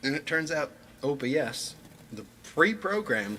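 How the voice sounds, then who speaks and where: Noticeable background noise runs under this recording. A man speaks over it with ordinary pitch variation. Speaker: musician livestreamer. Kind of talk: casual livestream chat. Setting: live stream from home setup. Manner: rambling, conversational.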